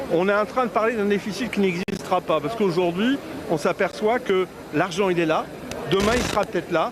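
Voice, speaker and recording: Over noticeable background noise, a man speaks at a fairly quick pace in a high pitch with ordinary variation. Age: 60s. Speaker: trade union representative. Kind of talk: street interview. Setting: outdoors at a street protest. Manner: halting, repetitive.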